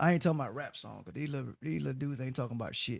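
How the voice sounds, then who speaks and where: A man speaks with a fairly high pitch. The sound is dry and close with no echo, and the recording is very clean with a silent background. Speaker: radio host. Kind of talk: casual chat. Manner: loud.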